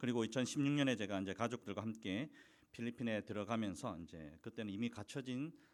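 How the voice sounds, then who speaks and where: A man at a fairly low pitch and fairly quick pace, on a very clean recording with a silent background. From South Korea, Busan. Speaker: missionary preacher. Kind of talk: sermon. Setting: church.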